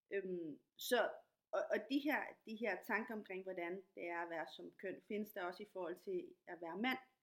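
An ordinary speaking voice at a fairly slow pace with ordinary pitch variation. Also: woman, medium pitch for a woman. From Latin America. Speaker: podcast host, dancer and activist. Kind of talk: casual interview.

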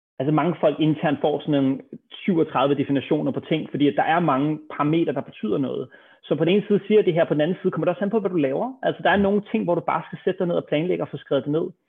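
A man talks very fast in a fairly high voice with ordinary pitch variation. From Denmark, Copenhagen. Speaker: serial entrepreneur. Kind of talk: interview.

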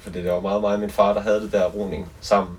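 A man at a moderate pace with noticeable background noise. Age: 20s. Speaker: singer-songwriter. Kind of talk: casual chat. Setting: on a boat.

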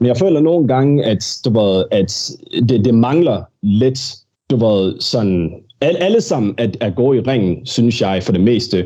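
Very slowly and with lively intonation, a man speaks at medium pitch with a dark, mellow tone and very even loudness. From Denmark, with childhood years in Birmingham, England. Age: 20s. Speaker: professional wrestler. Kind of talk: casual interview. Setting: studio. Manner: halting, many fillers and repetitions.

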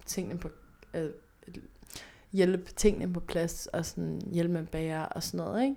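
Her voice fairly low in pitch, the woman talks with a dark, mellow tone. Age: 20s. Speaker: podcast host. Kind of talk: casual chat.

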